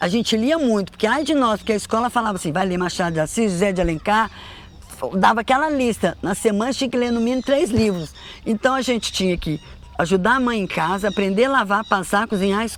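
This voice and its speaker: Very fast speech from a woman, fairly high in pitch, with lively intonation. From Brazil, Belo Horizonte (Minas Gerais). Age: 60s. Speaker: storyteller mother. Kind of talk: life story interview.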